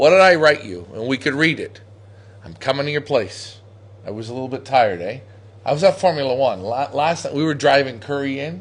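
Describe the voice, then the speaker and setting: With an American accent, a man talks at a fairly quick pace and a medium pitch, his tone animated and his intonation lively. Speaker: pigeon auction host. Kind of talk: casual chat. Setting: facebook live show at a pigeon loft.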